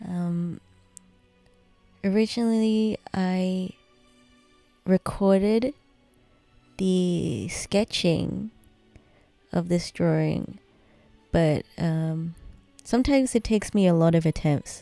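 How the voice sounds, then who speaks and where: Music plays in the background as a woman at medium pitch talks at a very slow pace with long, frequent pauses, the sound dry and close with no echo. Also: ordinary pitch variation. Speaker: digital artist. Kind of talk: tutorial voice-over. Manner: slow, many pauses.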